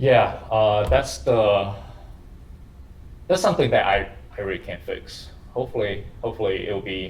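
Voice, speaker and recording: Audible room echo surrounds a man with a non-native accent who speaks at a moderate pace, leaving long, frequent pauses. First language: not English. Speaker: university lecturer. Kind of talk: lecture. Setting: classroom with camera for online students. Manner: halting.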